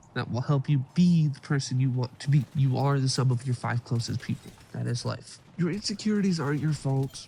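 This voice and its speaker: At a fairly quick pace with hardly any pauses, a man speaks in a dark, mellow, somewhat breathy tone at a medium pitch, with ordinary pitch variation. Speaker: self-help YouTuber. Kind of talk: motivational talk to camera.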